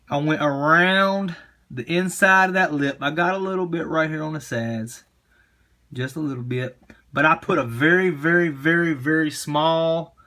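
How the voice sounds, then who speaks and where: Bright and sharp in tone, a man's fairly high voice moves at a moderate pace with ordinary pitch variation. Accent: strong East Tennessee. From East Tennessee. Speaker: RC crawler hobbyist. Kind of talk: tutorial. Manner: halting, many fillers and repeats; casual.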